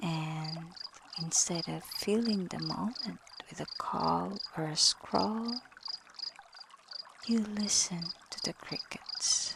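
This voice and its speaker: A woman with a gentle tone speaks at a very slow pace, leaving long, frequent pauses. Noticeable background noise runs underneath. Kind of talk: soft-spoken ASMR reflection with scripture-inspired themes. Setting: layered with calming water and night sounds. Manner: soft-spoken, slow, gentle.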